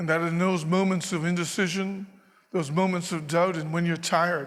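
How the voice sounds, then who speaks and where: A man talks at a moderate pace in a high pitch. His intonation is monotone and flat, and the room echo is audible. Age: 60s. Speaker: former lieutenant governor, keynote speaker. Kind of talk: keynote speech.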